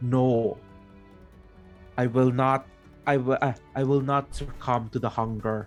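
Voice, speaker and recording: Over faint music in the background, a man uses a booming, put-on character voice at medium pitch, moving at a fairly slow pace with long, frequent pauses. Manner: defiant.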